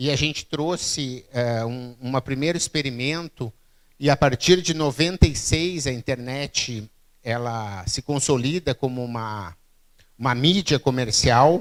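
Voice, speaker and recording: The recording is very clean, with a silent background. A man speaks at a fairly slow pace in a medium-pitched voice with ordinary pitch variation. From southern Brazil, Rio Grande do Sul (Santa Maria). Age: 40s. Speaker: keynote speaker, innovation expert. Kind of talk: public talk. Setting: stage with audience. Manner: conversational, frequent fillers.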